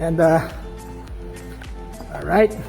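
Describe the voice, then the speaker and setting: The speaker has a non-native accent and a moderate pace. Music plays in the background. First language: not English. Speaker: gadget vlogger. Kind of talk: casual talk to camera. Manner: casual, hesitant with fillers.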